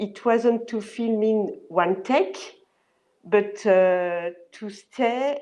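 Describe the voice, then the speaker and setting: Ordinary pitch variation in a French accent. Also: woman. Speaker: location manager. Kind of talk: panel interview. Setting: video call. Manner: halting.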